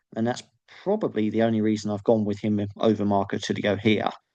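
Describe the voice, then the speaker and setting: A fairly low male voice, dark and mellow in tone, in a monotone, flat intonation against a quiet background. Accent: English. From England. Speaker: MMA fan youtuber. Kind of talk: solo video commentary. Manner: halting, many fillers.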